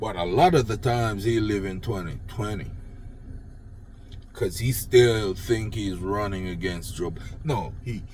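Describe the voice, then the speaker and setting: A man with a Jamaican accent speaks at a fairly slow pace and fairly low pitch. His voice is somewhat breathy, with audible room echo. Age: old. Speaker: political commentator vlogger. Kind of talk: unscripted rant.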